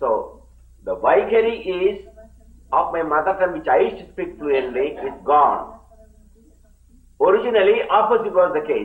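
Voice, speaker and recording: A man with a Keralan accent at a moderate pace, with long, frequent pauses, audible room echo and noticeable background noise. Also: big swings in loudness. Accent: Indian (Malayali) English. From India, Kerala. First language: Malayalam. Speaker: yoga teacher, swami. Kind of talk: lecture. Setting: camp lecture hall with live translators.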